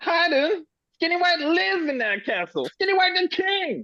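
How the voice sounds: A man puts on a character voice at an extremely high pitch. His pitch swings are big. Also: fairly slow pace.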